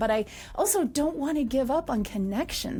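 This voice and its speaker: Lively intonation from a woman, with music in the background. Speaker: podcast host. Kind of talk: podcast intro.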